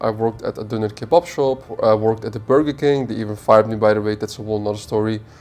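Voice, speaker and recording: A man rattles along at a very fast pace, hardly any pauses breaking his fairly low-pitched speech with its ordinary pitch variation. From Netherlands. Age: 20s. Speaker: e-commerce entrepreneur. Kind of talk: casual monologue.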